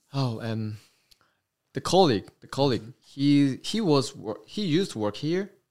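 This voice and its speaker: A Korean accent at a moderate pace, with very wide pitch swings and big swings in loudness, on a very clean recording with a silent background. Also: man, fairly high pitch for a man. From South Korea, Incheon. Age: 20s. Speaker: military air traffic controller. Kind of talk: casual chat. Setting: in-person recording with camera. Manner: halting.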